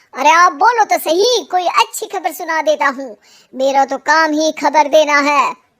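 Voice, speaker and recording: A high-pitched, cartoonish character voice speaks at a moderate pace. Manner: chatty, cheeky.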